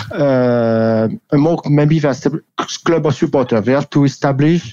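This man talks at a fairly slow pace with a French accent and a dark, mellow tone. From France. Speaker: rugby league columnist. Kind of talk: interview. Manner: halting.

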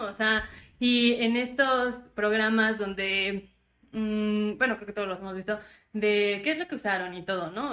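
In an unremarkable speaking voice, a woman talks at a moderate pace, fairly high in pitch with ordinary pitch variation. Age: 20s. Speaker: podcast co-host. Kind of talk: casual chat.

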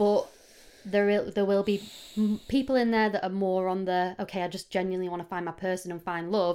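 Speaking at a fairly quick pace, a woman with a medium pitch and a dark, mellow tone keeps her intonation fairly even in a very clean recording with a silent background. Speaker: podcast co-host. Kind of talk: casual chat.

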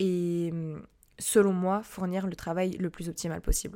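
Very clean and set against a silent background, the recording captures a woman at medium pitch with a dark, mellow tone and monotone, flat intonation. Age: 20s. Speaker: podcast host. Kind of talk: casual Q&A monologue. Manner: hesitant with many fillers.

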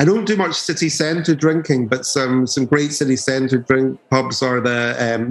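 Over noticeable background noise, a man with an Edinburgh accent speaks at a medium pitch and moderate pace with ordinary pitch variation. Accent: Scottish (Edinburgh). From Edinburgh, Scotland. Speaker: DJ and label owner. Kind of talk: casual interview chat.

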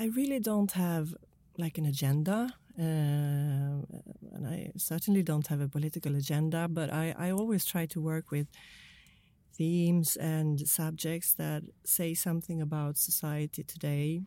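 In a very clean recording with a silent background, a woman with a Swedish accent speaks at a fairly slow pace, her very deep, low voice dark and mellow, with ordinary pitch variation. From Sweden. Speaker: crime novelist. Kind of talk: interview. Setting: studio.

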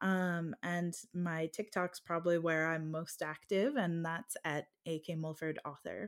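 A woman with an American accent and a normal speaking voice, fairly low in pitch, at a fairly slow pace with hardly any pauses and fairly even intonation, on a very clean recording with a silent background. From United States. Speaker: fantasy romance author. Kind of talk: casual interview.

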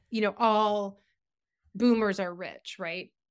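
A woman with a normal speaking voice and an American accent talks at a fairly high pitch. She goes at a fairly slow pace on a very clean recording with a silent background. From Massachusetts. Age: 50s. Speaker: writer. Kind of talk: casual chat.

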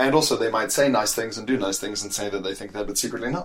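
Against noticeable background noise, a man with a fairly low voice talks at a very fast pace with ordinary pitch variation. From South Africa. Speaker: comedian. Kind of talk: casual chat.

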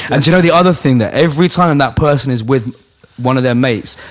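This man's pitch varies in an ordinary way as he speaks fairly quickly against noticeable background noise. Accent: London. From London, Hackney. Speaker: battle rap league host. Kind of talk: casual chat.

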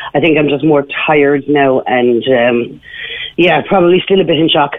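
A woman in a Cork accent, very deep and low in pitch, talks at a moderate pace with ordinary pitch variation and very even loudness, over noticeable background noise. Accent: Irish (Cork). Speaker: caller. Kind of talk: radio phone-in interview.

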